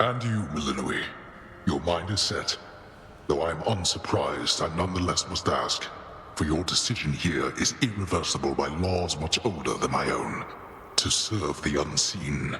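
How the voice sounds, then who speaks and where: A man puts on a cartoonish character voice with a very deep, low pitch. He speaks at a moderate pace over clear background noise. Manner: solemn, formal.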